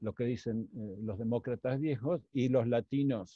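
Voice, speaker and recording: The recording is dry and close with no echo, carrying a man's dark, mellow voice at medium pitch with ordinary pitch variation. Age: 60s. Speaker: economist. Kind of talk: interview Q&A. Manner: halting, many fillers.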